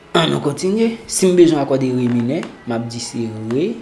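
Over noticeable background noise, someone talks at a fairly quick pace. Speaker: guitar and music theory teacher. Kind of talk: tutorial.

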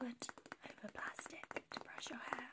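The woman speaks in a whisper. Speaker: ASMR creator. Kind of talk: ASMR soft-spoken product review. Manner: soft-spoken. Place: home room. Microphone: phone near.

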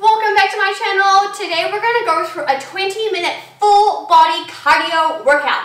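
In a raised, projected voice, a woman speaks at a fairly quick pace with ordinary pitch variation and audible room echo. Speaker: fitness instructor. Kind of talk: workout tutorial intro. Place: home room.

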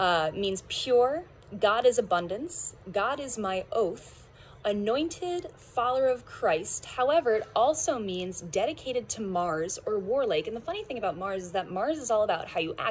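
The pace is moderate, with very wide pitch swings. Light background noise is present. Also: woman. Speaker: card reader. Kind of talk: casual tarot reading chat. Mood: warm, smiling, playful. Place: garden.

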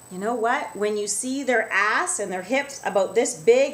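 At a moderate pace, a woman speaks in an animated tone with lively intonation. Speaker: wellness vlogger. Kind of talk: angry rant. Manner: animated, emphatic, indignant; talkative, conversational, direct to viewers. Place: office. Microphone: webcam.

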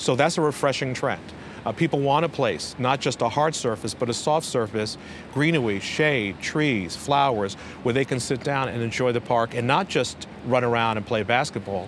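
Heard over light background noise with a dry sound and no echo, a man with a New York accent speaks with ordinary pitch variation. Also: moderate pace. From Brooklyn, New York. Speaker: city parks commissioner. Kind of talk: interview. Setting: rooftop garden outdoors. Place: street. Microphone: lapel.

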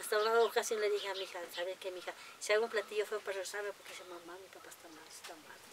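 Noticeable background noise lies under a woman talking very fast in a monotone, flat intonation. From Mexico, Tlaxcala. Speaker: farmer and cooking contest winner. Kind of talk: interview. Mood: warm, cheerful storytelling. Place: farm. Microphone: lapel.

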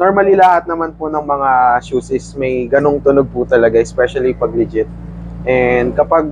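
A man speaks at a moderate pace over light background noise, in a dry sound with no echo. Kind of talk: interview answer. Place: shop. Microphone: lapel.

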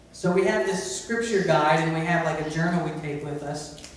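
The speech moves at a fairly quick pace amid strong room echo and light background noise. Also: man. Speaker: preacher. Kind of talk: sermon. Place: church. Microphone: camera far.

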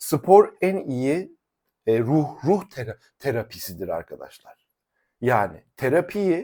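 A man's fairly high voice with vocal fry and a dark, mellow tone, swinging very widely in pitch, on a very clean recording against a silent background. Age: 40s. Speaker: fitness coach. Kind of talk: YouTube monologue. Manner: animated.

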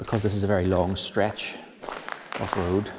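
Over noticeable background noise, a man talks at a moderate pace with a fairly low pitch and monotone, flat intonation. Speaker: tunnel explorer guide. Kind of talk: walking tour commentary. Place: tunnel cave. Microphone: phone near.

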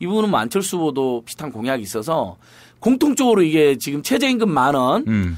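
Very wide pitch swings in a man's fairly high-pitched speech. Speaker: civic activist, head of a citizens' group. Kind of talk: casual studio interview. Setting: studio. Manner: laughs easily, self-deprecating.

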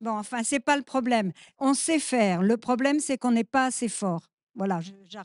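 A woman with a plain, everyday voice speaks at a moderate pace in a fairly high pitch, with ordinary pitch variation. The sound is dry and close with no echo, over a quiet background. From France, urban. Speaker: activist. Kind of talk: panel discussion.

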